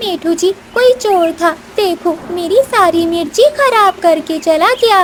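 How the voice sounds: A female-sounding cartoonish character voice, extremely high in pitch and fairly slow, over clear background noise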